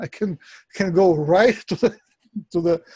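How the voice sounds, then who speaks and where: Against a quiet background, a man talks in a high pitch with a dark, mellow tone and fairly even intonation, the sound dry with no echo. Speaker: Reiki teacher. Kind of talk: online workshop teaching. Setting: video call. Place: home room. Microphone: video call.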